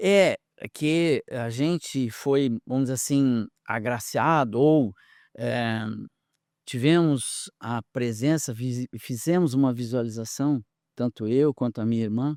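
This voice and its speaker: This very clean recording has a silent background and a dry, close sound with no echo. A man talks at a very slow pace in a medium pitch, with ordinary pitch variation. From southern Brazil, Porto Alegre. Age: 60s. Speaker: researcher and speaker. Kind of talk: podcast interview. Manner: animated.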